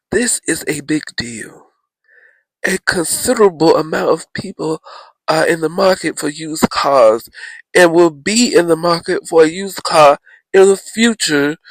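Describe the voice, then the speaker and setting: The sound is dry and close with no echo, and the speech moves at a fairly slow pace. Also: man, high pitch for a man, ordinary pitch variation. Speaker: podcast host. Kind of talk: podcast monologue, news commentary. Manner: casual, conversational.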